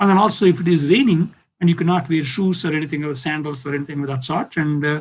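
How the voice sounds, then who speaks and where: Talking at a very fast pace, a man with an Indian accent keeps his intonation fairly even. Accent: Indian English (Telugu). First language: Telugu. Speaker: physics professor. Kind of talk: lecture. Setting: video call.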